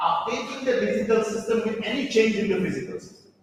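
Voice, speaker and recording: High-pitched male voice amid audible room echo and noticeable background noise. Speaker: professor. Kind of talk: lecture. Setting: conference hall with audience.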